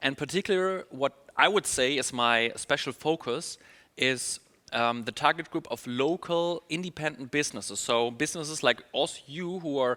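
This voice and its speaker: At a moderate pace, a man with a German accent speaks in a bright, sharp tone at a fairly high pitch with ordinary pitch variation, the sound dry and close with no echo. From Germany. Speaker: email marketing specialist. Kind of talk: webinar presentation. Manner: upbeat.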